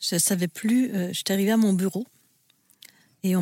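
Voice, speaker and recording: A woman speaks in a dark, mellow tone with fairly even intonation. The recording is very clean and silent in the background, with a dry, close sound and no echo. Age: 60s. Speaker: host's mother, burnout survivor. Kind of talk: personal testimony.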